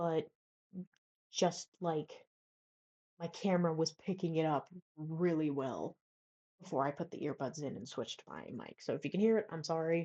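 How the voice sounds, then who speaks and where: A woman with a dark, mellow tone talks at a moderate pace. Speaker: writing advice vlogger. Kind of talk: casual tutorial. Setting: college dorm room. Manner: soft-spoken at times; hesitant, many fillers.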